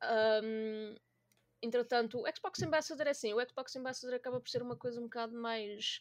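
An ordinary speaking voice moves at a moderate pace. Its pitch variation is ordinary. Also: woman. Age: 20s. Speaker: gaming community organizer. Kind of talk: casual chat.

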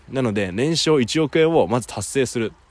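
A man's speech at a moderate pace. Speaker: podcaster and company founder. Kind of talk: casual monologue. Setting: outdoors by a river.

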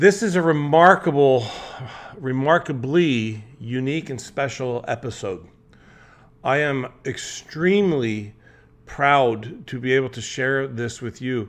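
A man's plain, everyday voice at a fairly slow pace, with big swings in loudness. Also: medium pitch for a man, ordinary pitch variation. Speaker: mental toughness coach. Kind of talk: podcast intro.

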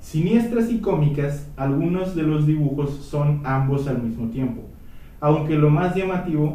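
A man with a Mexican accent speaks at a moderate pace and a fairly high pitch, with ordinary pitch variation. Noticeable background noise and audible room echo fill the recording. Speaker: history podcast host. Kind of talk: casual chat.

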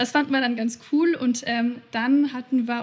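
Fairly even intonation carries speech delivered at a moderate speed. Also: woman. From Bavaria, Munich. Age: 20s. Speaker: marketing agency founder. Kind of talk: interview.

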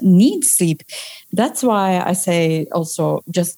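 A woman with a Turkish accent speaks in a dark, mellow tone with lively intonation on a very clean recording with a silent background. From Turkey. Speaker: social scientist and burnout coach. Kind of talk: interview conversation. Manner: halting, many fillers.

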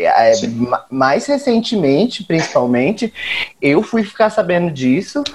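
Spoken at a fairly slow pace, the voice comes through over noticeable background noise. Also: man. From Brazil, Campo Grande (Mato Grosso do Sul). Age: 20s. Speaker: guest discussing television. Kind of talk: casual chat.

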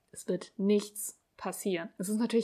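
Monotone, flat intonation from a woman at a fairly slow pace. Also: very clean recording, silent background. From Germany, Hamburg. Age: 30s. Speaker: podcast host, blogger. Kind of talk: solo podcast monologue.

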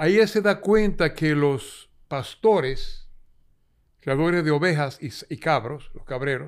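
A man in a Dominican accent, fairly high-pitched and fairly slow, with ordinary pitch variation, in a very clean recording with a silent background. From Dominican Republic, San Juan de la Maguana. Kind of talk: interview storytelling.

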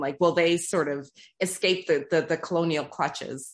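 In a Canadian accent, a woman with a normal speaking voice talks at a fairly low pitch and moderate pace with fairly even intonation against a quiet background. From Toronto, Canada (Trinidadian family). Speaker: podcast host. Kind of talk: interview conversation.

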